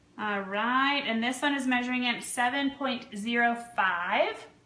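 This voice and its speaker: A woman speaks at a fairly slow pace with an American accent, her pitch high. The room echo is audible and there is noticeable background noise. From Vermont, US (Cambridge). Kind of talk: live stream sales chat. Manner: animated.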